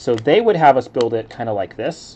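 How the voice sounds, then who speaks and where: Relaxed in tone, a man speaks at a fairly quick pace with a medium pitch. His accent is American. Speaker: Lego building streamer. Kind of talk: casual live-stream commentary while building. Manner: relaxed, chill.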